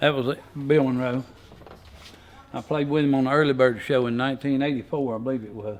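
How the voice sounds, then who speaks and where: A man with a North Carolina accent, a fairly high pitch, fairly even intonation and a fairly quick pace. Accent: rural Southern US (North Carolina). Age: 70s. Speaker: farmer and potter. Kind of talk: interview storytelling.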